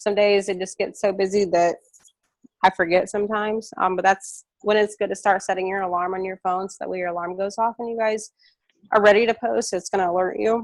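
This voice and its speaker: A woman talks at a fairly quick pace in a monotone, flat intonation, the sound dry and close with no echo. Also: medium pitch for a woman, big swings in loudness. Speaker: network marketing trainer. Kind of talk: live training webinar. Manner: fast; casual, filler-heavy.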